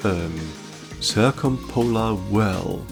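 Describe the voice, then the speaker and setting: The voice has a calm, relaxed tone and very wide pitch swings, with music in the background. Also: man. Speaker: science podcaster, channel owner. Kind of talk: educational science narration, podcast. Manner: calm, relaxed, unintentionally ASMR-like.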